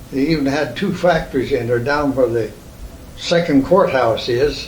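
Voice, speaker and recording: With a Midwestern US accent, a man speaks at a moderate pace in a fairly high pitch, with audible room echo and noticeable background noise. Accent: US Midwest. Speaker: oral history interviewee. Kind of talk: oral history interview. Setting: at home. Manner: halting.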